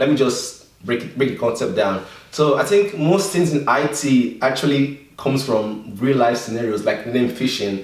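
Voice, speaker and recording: Speech runs on with hardly any pauses. Audible room echo and noticeable background noise fill the recording. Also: man. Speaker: tech YouTuber. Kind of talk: tutorial. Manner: halting.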